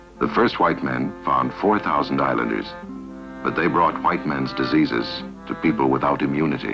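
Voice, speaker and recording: A man's very deep, low voice at a moderate pace with ordinary pitch variation over clear music in the background. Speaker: documentary narrator. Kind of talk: documentary narration. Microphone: old recording.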